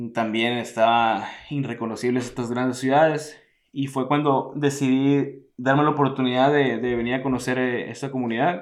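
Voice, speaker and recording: A man's medium-pitched voice at a moderate pace, monotone and flat. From Mexico, Hermosillo, Sonora. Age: 20s. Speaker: traveller. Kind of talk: interview. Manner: halting.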